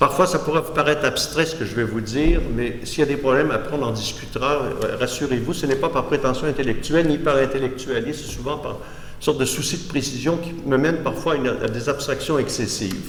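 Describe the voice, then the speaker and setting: A man's fairly high voice at a fairly quick pace, with noticeable background noise and audible room echo. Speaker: art critic and philosopher giving a lecture. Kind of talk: lecture. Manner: halting, with false starts.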